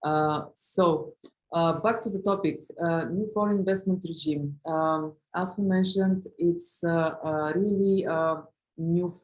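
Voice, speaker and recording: A woman with an Eastern European accent speaks at a fairly slow pace, her fairly low voice keeping a fairly even intonation. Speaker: lawyer. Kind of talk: webinar presentation. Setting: online webinar. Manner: halting, many fillers.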